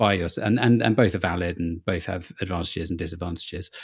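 A man with a British accent speaks in a very deep, low voice with ordinary pitch variation. The recording is very clean, the background silent. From UK. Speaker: travel writer. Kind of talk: interview.

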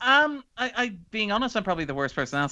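A man with an Irish accent, very fast and lively in intonation, over a quiet background. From Ireland. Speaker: writer and critic. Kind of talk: casual interview chat. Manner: chatty.

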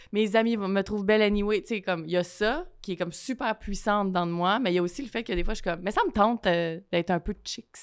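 A woman's medium-pitched voice at a very fast pace, with hardly any pauses and ordinary pitch variation. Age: 30s. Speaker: writer. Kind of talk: casual chat.

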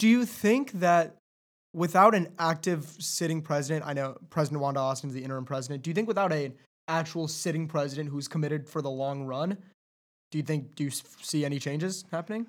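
On a very clean recording with a silent background, a man with an American accent talks very fast at a fairly high pitch, with ordinary pitch variation. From Southern California. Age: 20s. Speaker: podcast host. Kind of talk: interview. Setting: studio.

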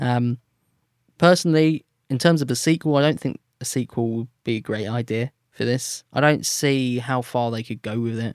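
A man with an unremarkable speaking voice talks at medium pitch and moderate pace, with ordinary pitch variation and a dry, close sound with no echo. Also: very clean recording, silent background. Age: 20s. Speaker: musician. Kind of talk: casual chat.

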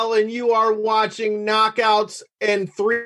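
Here a man is talking. His delivery is fairly slow. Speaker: podcast host. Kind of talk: wrestling promo drops for the show intro, hyped celebrity-style shout-outs. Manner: boastful, swaggering promo delivery ending lines with 'baby'; profane, laid-back banter.

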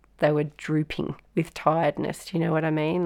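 A woman with an Australian accent, very deep and low in pitch, monotone and flat in intonation, at a moderate pace. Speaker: flood survivor, local resident. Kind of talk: personal testimony in an audio walk.

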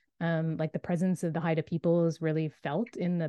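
This woman has a plain, everyday voice pitched fairly low. She talks at a moderate pace. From Nova Scotia, Canada. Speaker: author. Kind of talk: interview.

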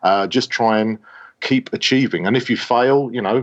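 This is a man speaking. He has an English accent. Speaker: space scientist. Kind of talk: interview. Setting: remote call from office.

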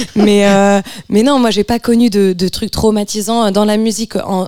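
In a dry, close recording with no echo, a woman speaks at a moderate pace with a dark, mellow tone. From France. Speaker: singer-songwriter. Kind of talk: radio interview.

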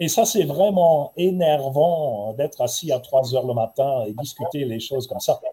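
Somewhat breathy and fairly slow, a man speaks at a fairly high pitch with lively intonation and a German accent. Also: hardly any pauses. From Germany (Heidelberg). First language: German (speaking French). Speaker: ambassador. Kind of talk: panel talk. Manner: halting.

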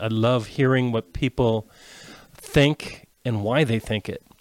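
Ordinary pitch variation runs through an unremarkable speaking voice. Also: man. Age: 60s. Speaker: retail sales manager. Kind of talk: casual panel discussion.

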